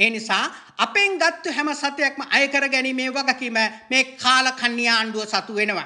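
At a very slow pace, a man projects a raised voice of extremely high pitch and bright, sharp tone, with very even loudness. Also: ordinary pitch variation. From Sri Lanka. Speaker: political commentator. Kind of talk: political commentary monologue. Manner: heated.

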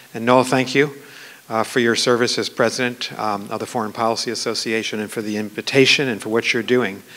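A man is speaking. His intonation stays fairly even and his pace is fairly quick. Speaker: guest lecturer. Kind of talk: formal lecture opening remarks. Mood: warm, lightly humorous. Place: hall. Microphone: podium.

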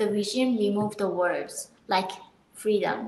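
A woman speaks slowly at a medium pitch. Audible room echo surrounds her voice.

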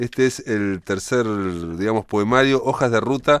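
Against a quiet background, a man with a Montevideo accent speaks at a moderate pace and fairly low pitch with ordinary pitch variation, the sound dry with no echo. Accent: Rioplatense Spanish (Montevideo). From Uruguay. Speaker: radio host. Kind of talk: radio interview. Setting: radio studio. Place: studio.

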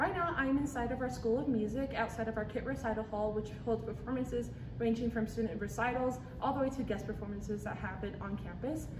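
A woman with an American accent talks at a very fast pace and a fairly high pitch, with ordinary pitch variation. Audible room echo and music in the background fill the recording. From Arizona, US. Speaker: student tour guide. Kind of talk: campus tour presentation. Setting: walking around campus buildings, partly outdoors.

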